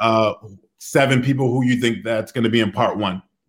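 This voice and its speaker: On a very clean recording with a silent background, a man with an American accent speaks with fairly even intonation. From southern New England (Rhode Island / Connecticut). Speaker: filmmaker and interviewer. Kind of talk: podcast interview.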